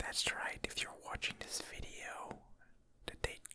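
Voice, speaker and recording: Noticeable background noise surrounds the whispering of a man. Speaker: ASMR gaming creator. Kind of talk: relaxed rambling commentary over gameplay. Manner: whispered; soft-spoken, slow.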